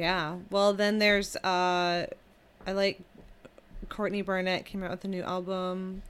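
In an American accent, a woman with a medium pitch talks at a fairly slow pace in a monotone, flat intonation, leaving long, frequent pauses. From Michigan, US. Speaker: musician. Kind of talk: casual chat.

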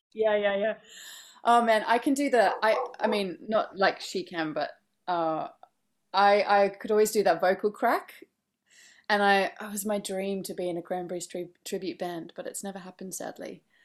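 A woman with a plain, everyday voice speaks at a medium pitch and moderate pace with ordinary pitch variation and big swings in loudness. The recording is very clean, with a silent background. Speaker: musician and actor. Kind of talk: casual interview chat.

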